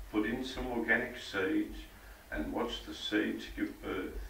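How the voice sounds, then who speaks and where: In an Australian accent, a man speaks at a fairly slow pace over noticeable background noise. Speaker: bush poet. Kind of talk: poetry reading. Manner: humorous.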